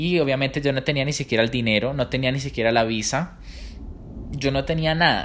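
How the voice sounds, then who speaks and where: A man's normal speaking voice, fairly quick in pace, with fairly even intonation and very even loudness. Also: medium pitch for a man. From Colombia. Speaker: professional dancer. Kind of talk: interview.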